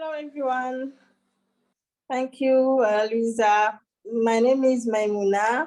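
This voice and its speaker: A very slow pace with long, frequent pauses and fairly even intonation. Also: woman, high pitch for a woman. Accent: French. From Senegal. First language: French. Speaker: feminist activist, panelist. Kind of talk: self-introduction on panel. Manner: halting.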